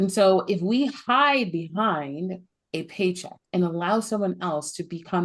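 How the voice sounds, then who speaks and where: A woman with an ordinary speaking voice talks at a medium pitch. She goes at a fairly slow pace with lively intonation. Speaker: podcast host. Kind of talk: podcast interview talk.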